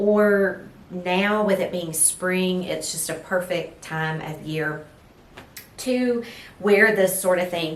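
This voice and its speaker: The speech comes at a very slow pace in an East Texas accent, with fairly even intonation. Noticeable background noise and audible room echo are present. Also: woman, medium pitch for a woman. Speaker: lifestyle vlogger. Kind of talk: casual fashion vlog. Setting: at home, filming with ring light.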